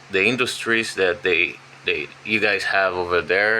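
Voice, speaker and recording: Male voice with fairly even intonation amid noticeable background noise. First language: Portuguese. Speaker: language learner and channel host. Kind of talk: casual chat.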